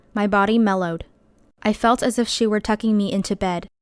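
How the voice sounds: The delivery is a natural reading voice. Intonation remains fairly even throughout.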